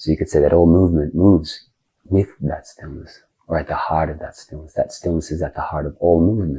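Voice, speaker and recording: A man with a very deep, low voice talks at a fairly quick pace, sounding somewhat breathy with a dark, mellow tone. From Australia. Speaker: spiritual teacher and minister. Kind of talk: podcast interview answer.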